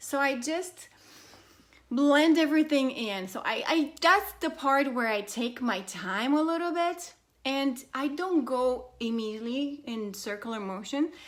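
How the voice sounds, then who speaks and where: A woman with a non-native accent speaks at a high pitch with lively intonation. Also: fairly slow pace. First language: not English. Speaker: beauty vlogger. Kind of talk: makeup tutorial. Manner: casual, hesitant with fillers.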